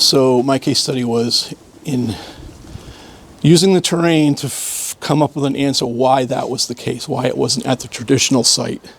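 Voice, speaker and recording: A man with an American accent speaks at a medium pitch and fairly even intonation. Noticeable background noise is present. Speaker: archaeology PhD student. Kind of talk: casual interview at a dig.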